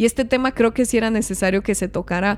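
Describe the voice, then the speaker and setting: Music is playing in the background. Over it, a woman speaks. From Mexico, Chihuahua. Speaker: podcast host. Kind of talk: casual chat. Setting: studio.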